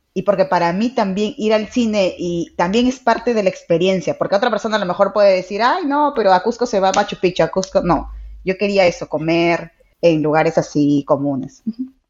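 With an unremarkable speaking voice, a woman talks fairly quickly at medium pitch, her intonation lively. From Peru, Trujillo. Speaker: life coach. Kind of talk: casual chat.

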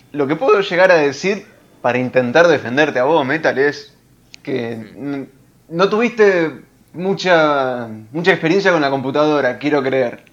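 A man speaks with a Rioplatense accent. His pitch is fairly high, with ordinary variation. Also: fairly slow pace. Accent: Argentine Rioplatense Spanish. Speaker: podcast co-host. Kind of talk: casual chat.

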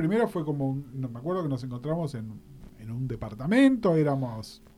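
Here is a man with a dark, mellow, somewhat breathy tone. His pitch swings very widely. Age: middle-aged. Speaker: podcast host. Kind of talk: casual chat.

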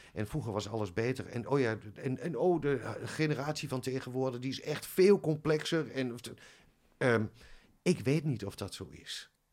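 A man's voice sits at a medium pitch with ordinary pitch variation. He talks at a moderate pace. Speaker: head of music teacher training. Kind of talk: casual interview. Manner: soft-spoken.

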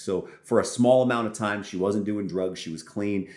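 In an American accent, a man with a fairly low pitch and ordinary pitch variation talks in a normal speaking voice. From California. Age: 30s. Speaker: pastor. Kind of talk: testimony.

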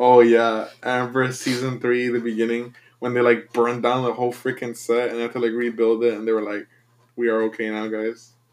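Speaking with a Spanish accent, a man keeps a medium pitch and a monotone, flat intonation at a fairly quick pace. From Mexico. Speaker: podcast co-host. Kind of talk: casual chat.

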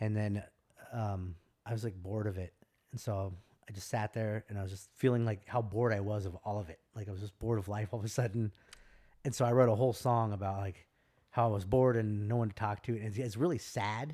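Very clean recording, silent background: a man with an American accent talks at a very fast pace. His voice is dark and mellow, fairly low in pitch, with fairly even intonation. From California. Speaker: wedding DJ and former Navy sailor. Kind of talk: casual chat.

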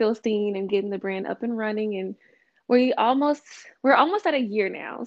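With a Louisiana accent, a woman talks at a fairly quick pace, her fairly high pitch showing ordinary variation. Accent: Southern US (Louisiana). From Louisiana (Vidalia). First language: American Sign Language. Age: 20s. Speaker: small business founder. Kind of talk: casual interview.

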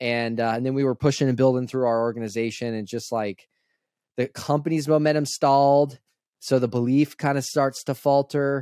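A man speaks at a moderate pace and medium pitch in a dark, mellow tone. The sound is dry and close, with no echo. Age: 20s. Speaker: entrepreneur. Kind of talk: casual interview. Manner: animated.

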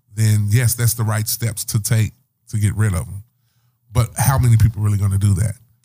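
With a somewhat breathy, dark, mellow tone, a man speaks at a fairly quick pace in a fairly low pitch and monotone, flat intonation. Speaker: podcast host. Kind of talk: casual chat.

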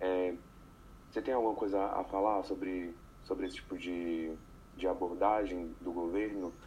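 A man's very deep, low voice, somewhat breathy, with a dark, mellow tone, monotone, flat intonation, a moderate pace and long, frequent pauses. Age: young. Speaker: architecture student. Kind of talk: interview.

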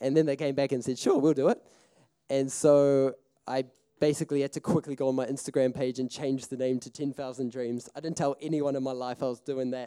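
In a dark, mellow tone at a medium pitch, a man talks at a fairly quick pace, the sound dry and close with no echo. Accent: New Zealand. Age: 20s. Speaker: filmmaker and festival speaker. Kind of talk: seminar talk, personal storytelling. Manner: casual, animated.

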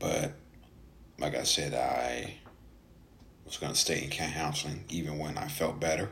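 Over noticeable background noise, a man with an American accent talks at a moderate pace with fairly even intonation. His pitch is very deep and low, and he pauses long and often. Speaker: podcast host. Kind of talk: solo podcast monologue about mental health. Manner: halting, many filler words.

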